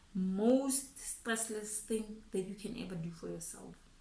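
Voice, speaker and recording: A somewhat breathy woman speaks at medium pitch with a Botswana accent. Audible room echo surrounds her voice. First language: Setswana. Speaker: financial planner YouTuber. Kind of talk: casual talk to camera, finance advice. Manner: code-switching English and Setswana; halting, frequent repetitions.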